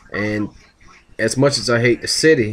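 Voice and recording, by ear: A man in an American accent, fairly low in pitch, with ordinary pitch variation. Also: moderate pace. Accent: Southern US, Florida and Louisiana.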